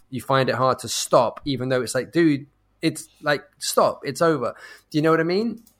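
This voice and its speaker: On a very clean recording with a silent background, a man with a London accent speaks at a moderate pace and a fairly high pitch with ordinary variation. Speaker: podcast host. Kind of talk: casual chat. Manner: halting.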